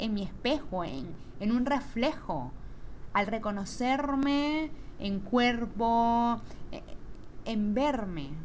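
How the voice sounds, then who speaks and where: Very slow and fairly high-pitched, a woman speaks with long, frequent pauses. Audible room echo surrounds her voice. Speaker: podcast host. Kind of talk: solo reflective monologue. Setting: at home. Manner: animated.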